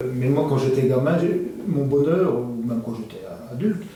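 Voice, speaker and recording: A man's medium-pitched voice with ordinary pitch variation, noticeable background noise and audible room echo. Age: 60s. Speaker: cooperative shop employee. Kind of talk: interview. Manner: halting.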